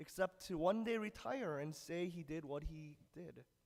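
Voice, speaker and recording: Very slowly, a man speaks with a dark, mellow tone, a fairly high pitch and ordinary pitch variation. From United States (immigrated from Korea at age four). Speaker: preacher. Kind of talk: sermon. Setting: church service. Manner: casual with fillers.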